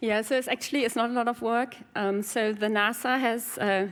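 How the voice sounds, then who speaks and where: A woman with a German accent talks at a fairly quick pace, her intonation fairly even. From Germany. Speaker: game designer and programmer. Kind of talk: conference Q&A. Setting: stage with audience. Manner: hesitant, many fillers.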